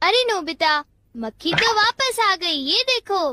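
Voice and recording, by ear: This cartoonish character voice sits at an extremely high pitch. It moves along at a fairly slow pace.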